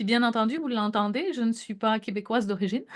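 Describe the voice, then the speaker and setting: A woman with a fairly high pitch and a somewhat breathy sound speaks over a quiet background. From France. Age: 40s. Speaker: wellness entrepreneur, essential oils consultant. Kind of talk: business opportunity presentation. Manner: casual, with frequent fillers.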